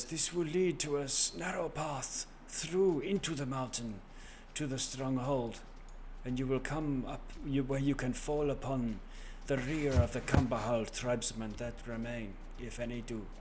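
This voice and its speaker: Clear background noise sits behind a man doing a put-on character voice. His voice is raspy, medium in pitch and moderate in pace. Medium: actual play. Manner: solemn, grave.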